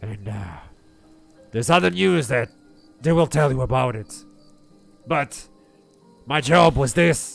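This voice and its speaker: A man uses a raspy put-on character voice at medium pitch with lively intonation. He talks at a fairly slow pace with long, frequent pauses, and faint music plays in the background. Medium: actual play. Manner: blunt, hesitant.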